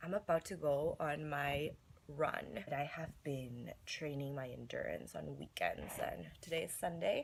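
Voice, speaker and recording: A woman puts on a raspy character voice, very deep and low, speaking at a fairly slow pace. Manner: casual vlog talk.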